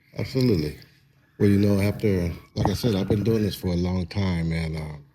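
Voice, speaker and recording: The speech moves at a fairly quick pace. Some room echo can be heard. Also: man, very deep, low pitch for a man, ordinary pitch variation. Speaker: photographer. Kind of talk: casual interview chat.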